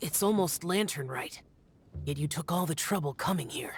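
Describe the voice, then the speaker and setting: A put-on character voice at middle pitch and a moderate pace. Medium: video game. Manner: terse, formal, reserved.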